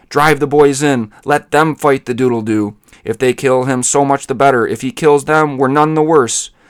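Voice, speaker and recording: A man is shouting in a put-on character voice. His pitch is fairly high and his pace moderate. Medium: read story. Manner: shouting, blustering.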